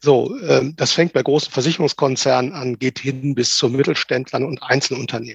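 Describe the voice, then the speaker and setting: At a moderate pace, a man speaks at medium pitch with fairly even intonation and a somewhat breathy quality, in a dry, close sound with no echo. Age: 50s. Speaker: agile transformation coach. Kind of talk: interview.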